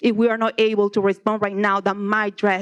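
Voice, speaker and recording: A woman with a Spanish accent speaks fairly slowly, the sound dry and close with no echo. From Nicaragua. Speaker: public commenter, kindergarten teacher. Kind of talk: public comment at board meeting. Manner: halting.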